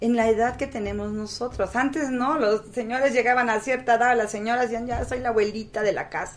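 A woman talks with a high pitch, keeping her pace moderate. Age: 50s. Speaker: pageant director. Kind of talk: casual chat.

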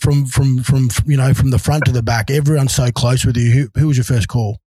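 With an Australian accent, a man speaks at a medium pitch in a somewhat breathy, dark, mellow tone, the sound dry and close with no echo. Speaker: podcast host, former rugby league player. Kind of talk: casual interview. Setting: video call.

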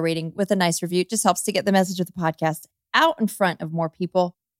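A woman talks at a very fast pace in a medium pitch. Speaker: podcast co-host. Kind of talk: casual chat.

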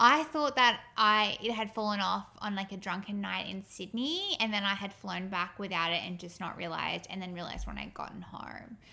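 Speaking with an Australian accent, a woman keeps a moderate pace with hardly any pauses, medium pitch and ordinary pitch variation. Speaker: podcast co-host. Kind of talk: casual chat.

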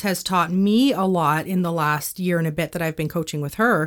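In a Canadian accent, a woman speaks in a fairly low voice with ordinary pitch variation, an unremarkable speaking voice, on a very clean recording with a silent background. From Canada, northwestern Ontario (Thunder Bay). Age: 30s. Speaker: business owner. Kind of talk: interview.

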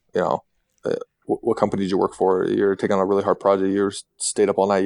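A man speaks with an American accent over a quiet background. The sound is dry and close, with no echo. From Utah. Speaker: former pro basketball player and company co-founder. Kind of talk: interview.

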